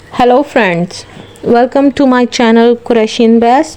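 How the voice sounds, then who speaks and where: Over noticeable background noise, a woman with a non-native accent speaks at a fairly high pitch with fairly even intonation. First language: not English. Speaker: crafts video creator. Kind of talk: channel intro talk. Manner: halting.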